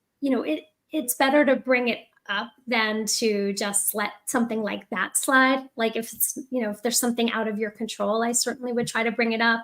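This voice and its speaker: In a plain, everyday voice, the speaker moves at a fairly quick pace with fairly even intonation. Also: woman, fairly high pitch for a woman. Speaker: MBA admissions consultant. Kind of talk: panel discussion.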